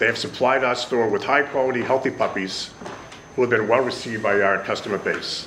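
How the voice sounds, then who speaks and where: Fairly quick speech in a Boston accent, with fairly even intonation and noticeable background noise. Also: man, medium pitch for a man. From Boston, Massachusetts (Jamaica Plain). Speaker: pet store owner. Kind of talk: public hearing testimony. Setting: legislative hearing room. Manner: formal.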